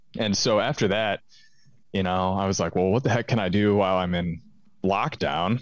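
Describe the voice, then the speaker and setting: A man speaks in a normal speaking voice at a fairly low pitch with ordinary pitch variation. His pace is moderate, and the recording is very clean with a silent background. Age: 20s. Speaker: musician and record label owner. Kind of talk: casual chat. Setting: call.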